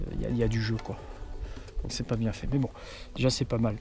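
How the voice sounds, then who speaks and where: Music plays in the background. A man talks at a medium pitch. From France, Béarn (Pau). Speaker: car vlogger. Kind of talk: casual vlog. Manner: hesitant, many fillers.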